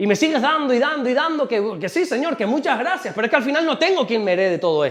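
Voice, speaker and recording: A man speaks at a very fast pace in an animated tone. His intonation is lively. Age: 40s. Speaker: pastor. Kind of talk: sermon.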